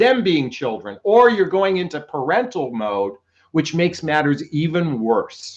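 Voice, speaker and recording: A man shouts loudly at a moderate pace. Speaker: relationship coach. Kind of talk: live stream talk. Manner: loud, yelling.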